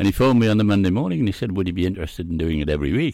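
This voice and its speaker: The recording is very clean, with a silent background. A man talks with lively intonation and vocal fry. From Scotland. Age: 80s+. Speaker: veteran fishing broadcaster. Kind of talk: interview answers, casual reminiscing. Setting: studio.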